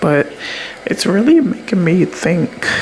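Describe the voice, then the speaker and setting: The voice is quiet. Noticeable background noise can be heard. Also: woman. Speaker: content creator vlogger. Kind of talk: casual confessional vlog. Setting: late night at home on camera. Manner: quiet low talking; hesitant, many fillers.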